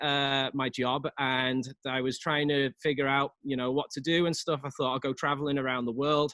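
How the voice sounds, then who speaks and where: A man with a Liverpool accent, fairly high in pitch, at a moderate pace and in a monotone, flat delivery. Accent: English (Liverpool), noticeable. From England, Liverpool. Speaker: real estate agent. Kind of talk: casual interview.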